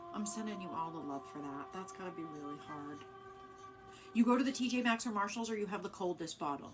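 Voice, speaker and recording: With music behind her, a woman of medium pitch races along at a very fast pace, her pitch swinging very widely and her loudness rising and falling sharply. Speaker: live-stream card reader. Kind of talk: casual live-stream chat. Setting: live stream.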